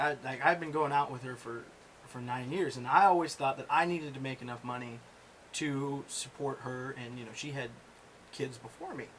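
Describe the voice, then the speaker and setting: There is noticeable background noise behind a man with a fairly high pitch. He keeps a moderate pace, with ordinary pitch variation and big swings in loudness. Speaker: podcast host. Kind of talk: casual chat.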